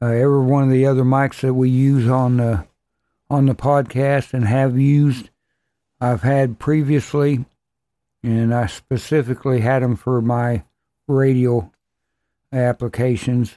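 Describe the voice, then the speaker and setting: A man with a dark, mellow, relaxed tone speaks at medium pitch and a fairly slow pace, leaving long, frequent pauses. His loudness stays very even on a very clean recording with a silent background. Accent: rural American. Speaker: podcast host. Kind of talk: casual solo podcast, equipment test. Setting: home recording setup. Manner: relaxed, rambling with frequent fillers.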